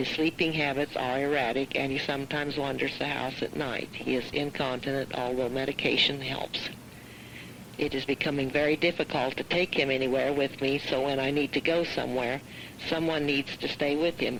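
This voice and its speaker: Over noticeable background noise, a woman with a very deep, low pitch speaks at a fairly quick pace in a monotone, flat intonation. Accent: American. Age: 60s. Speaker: farm wife and caregiver. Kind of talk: prepared statement read aloud. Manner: formal.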